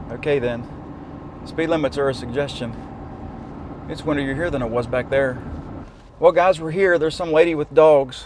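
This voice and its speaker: A man with a fairly high pitch and ordinary pitch variation talks at a moderate pace, taking long, frequent pauses amid noticeable background noise. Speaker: drone video creator. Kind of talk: casual vlog talk to camera. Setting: in a truck. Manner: casual, conversational; occasional stuttering.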